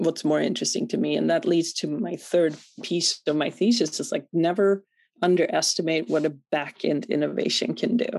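A woman speaks at medium pitch with a Swedish accent and vocal fry. The background is quiet. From Sweden. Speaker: venture capital investor. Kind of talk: interview.

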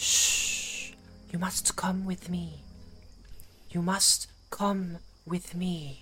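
In a female-sounding, put-on character voice at medium pitch, the speaker moves at a very slow pace with long, frequent pauses over clear background noise. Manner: urgent, hushed, trustworthy-sounding.

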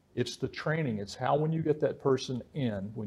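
A man speaks with an American accent and a lively intonation. His voice is somewhat breathy. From West Virginia. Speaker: podcast host, leadership coach. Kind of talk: interview.

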